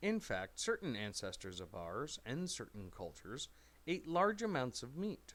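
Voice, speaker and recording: A man is speaking. His pitch swings very widely. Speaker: English teacher. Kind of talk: educational reading of a scripted text for language learners. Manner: slow.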